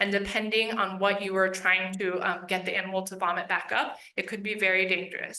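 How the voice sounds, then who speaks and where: Amid audible room echo, a woman with an American accent and medium pitch talks at a very fast pace. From US East Coast. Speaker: veterinarian instructor. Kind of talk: Q&A at public lecture. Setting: room with live audience and webinar.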